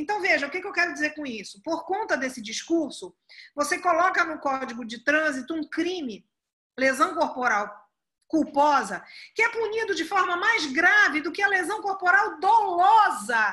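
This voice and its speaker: Raised and projected, a woman's voice at an extremely high pitch carries a bright, sharp tone and very wide pitch swings at a moderate pace. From Pará, northern Brazil. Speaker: prosecutor and law professor. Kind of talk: podcast interview.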